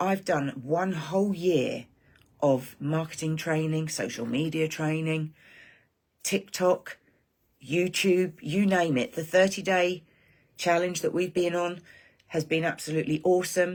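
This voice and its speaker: In an English accent, a woman with a fairly low pitch speaks at a fairly slow pace with ordinary pitch variation and long, frequent pauses, on a very clean recording with a silent background. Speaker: online marketing creator. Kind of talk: live stream monologue. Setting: live stream. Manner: animated.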